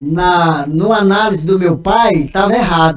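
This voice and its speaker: A man's voice, high in pitch, with ordinary pitch variation. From Maranhão, Brazil. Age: 70s. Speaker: pastor. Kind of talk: casual podcast conversation. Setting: studio.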